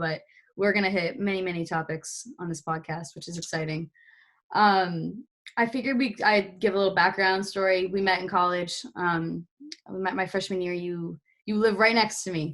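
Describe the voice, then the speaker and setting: Speaking in a plain, everyday voice at a medium pitch, a woman keeps a fairly quick pace and fairly even intonation on a very clean recording with a silent background. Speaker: podcast host, college student. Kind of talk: casual chat.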